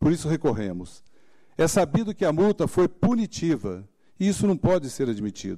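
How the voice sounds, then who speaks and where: A man's fairly high voice, dark and mellow in tone, at a moderate pace, in a very clean recording with a silent background. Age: 60s. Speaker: former mayor defending his accounts. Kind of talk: formal plea before a tribunal. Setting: tribunal session. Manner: formal.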